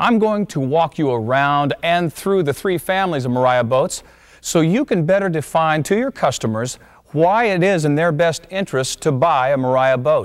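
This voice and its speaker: Against a quiet background, a man speaks at a moderate pace. His intonation is lively. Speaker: presenter. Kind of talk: promotional presentation. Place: studio.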